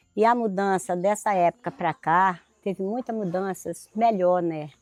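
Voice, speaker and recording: Against a quiet background, a woman with a fairly low pitch speaks at a fairly slow pace in an ordinary speaking voice, her intonation fairly even and the sound dry and close with no echo. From Brazil, Acre (Amazon extractive reserve). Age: 60s. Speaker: extractive reserve resident, farmer. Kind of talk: oral history testimony.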